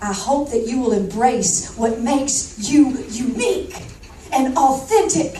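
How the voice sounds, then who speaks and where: A woman with a Southern accent speaks in an animated tone. Audible room echo and noticeable background noise surround her. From US South, Georgia. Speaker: motivational speaker. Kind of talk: keynote speech.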